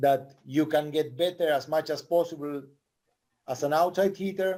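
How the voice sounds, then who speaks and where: A man's fairly high-pitched voice with a Spanish accent, a dark, mellow tone, fairly even intonation and a moderate pace. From Argentina. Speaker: volleyball coach. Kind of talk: casual chat. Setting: podcast conversation.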